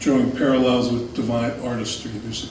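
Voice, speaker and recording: Noticeable background noise fills the clip. There is audible room echo as well. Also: man. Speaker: lecturer. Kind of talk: lecture. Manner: soft-spoken.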